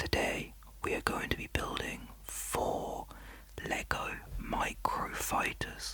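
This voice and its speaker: A man whispers very slowly against noticeable background noise. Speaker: ASMR content creator. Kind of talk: ASMR whisper video for sleep and relaxation. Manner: soft-spoken, whispering.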